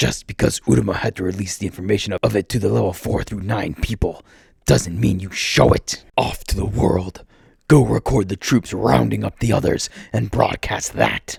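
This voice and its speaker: This man uses a put-on character voice, growling with a menacing tone at a moderate pace. His pitch is very deep and low. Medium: read story. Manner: menacing, barely contained rage.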